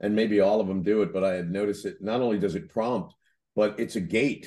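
Against a quiet background, a man talks at a moderate pace. He has a normal speaking voice with fairly low pitch. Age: 60s. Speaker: podcast host, franchise consultant. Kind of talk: casual interview.

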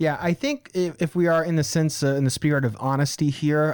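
A man with a normal speaking voice, fairly even intonation and a fairly quick pace, in a dry, close sound with no echo. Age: 20s. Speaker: podcast host. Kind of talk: casual chat.

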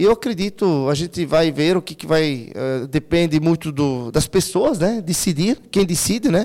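A dark, mellow voice at a moderate pace, with lively intonation and big swings in loudness. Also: man, high pitch for a man. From Santa Catarina, Brazil (Timbó). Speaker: local politician. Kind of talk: interview. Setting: studio. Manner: halting.

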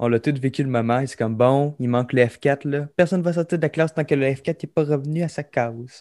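A man with a Quebec accent speaks at a fairly quick pace, with a dark, mellow tone and a fairly high pitch. His intonation is fairly even, and the sound is dry and close with no echo on a very clean recording with a silent background. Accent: Québécois French. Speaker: podcast co-host. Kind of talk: casual chat.

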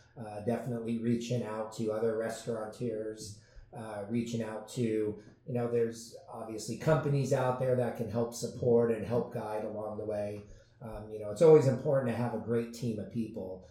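Flat, monotone male speech of medium pitch at a moderate pace, with audible room echo and noticeable background noise. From US West Coast, San Diego. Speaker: restaurant owner. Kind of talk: interview.

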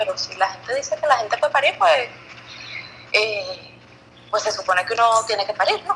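A woman talks at a moderate pace, leaving long and frequent pauses, with noticeable background noise behind her. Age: 30s. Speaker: podcast guest sharing birth story. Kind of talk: casual chat.

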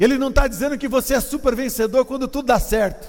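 A man with an extremely high pitch and fairly even intonation. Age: 50s. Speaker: pastor. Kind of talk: sermon.

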